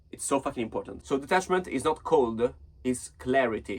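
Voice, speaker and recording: The speaker has a non-native accent, a moderate pace and ordinary pitch variation. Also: man. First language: not English. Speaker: self-help vlogger. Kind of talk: casual advice monologue. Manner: halting.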